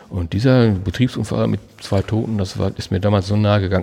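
The man's intonation stays fairly even, with noticeable background noise behind him. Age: 60s. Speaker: retired police officer. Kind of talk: casual chat. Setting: outdoors.

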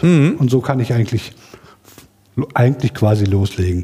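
Lively intonation marks this man's speech, with noticeable background noise. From Sauerland, Germany. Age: 40s. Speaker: science podcast curator on Twitter. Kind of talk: self-introduction at workshop. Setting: workshop room with live audience.

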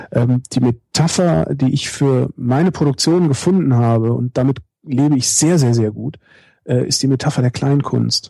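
At a fairly slow pace, a man with a normal speaking voice talks in a medium pitch with ordinary pitch variation. His loudness stays very even, and the sound is dry and close with no echo. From Germany, Cologne. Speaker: radio host and podcaster. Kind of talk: interview.

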